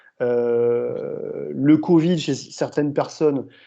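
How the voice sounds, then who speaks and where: A man speaks against a quiet background. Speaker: exercise physiology professor. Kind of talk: lecture Q&A answer.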